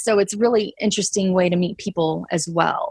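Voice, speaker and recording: Speaking at a fairly quick pace with a slight Texas accent, a woman at medium pitch is heard against a quiet background, the sound dry and close with no echo. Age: 30s. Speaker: traveler who quit her job. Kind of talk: casual interview chat. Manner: hesitant, many fillers.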